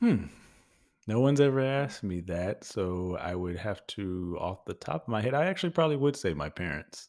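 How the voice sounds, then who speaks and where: A man with an American accent speaks at a moderate pace, his fairly low pitch moving in very wide swings. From Texas, Houston area. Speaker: podcaster and voice actor. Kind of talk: casual interview. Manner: animated.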